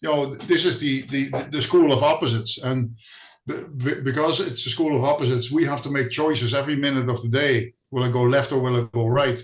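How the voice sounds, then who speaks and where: Speaking at a fairly quick pace, a man with a fairly high pitch sounds somewhat breathy and keeps his intonation fairly even. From Netherlands. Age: 60s. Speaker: spiritual healing visitor. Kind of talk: casual interview. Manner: hesitant, repeats words.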